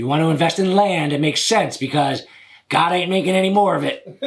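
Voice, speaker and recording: A raspy, put-on character voice from a man, high in pitch with ordinary pitch variation, at a very fast pace. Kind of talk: put-on voice. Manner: silly.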